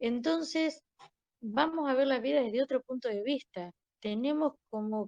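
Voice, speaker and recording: A woman speaks at a high pitch with ordinary pitch variation and a fairly slow pace. The sound is dry and close, with no echo. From Argentina. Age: 60s. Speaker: interviewee sharing life story. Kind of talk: interview testimony.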